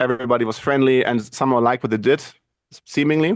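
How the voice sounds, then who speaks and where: Against a quiet background, a man with a German accent speaks fairly quickly at a medium pitch. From Germany. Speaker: video and podcast producer. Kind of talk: interview. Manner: halting.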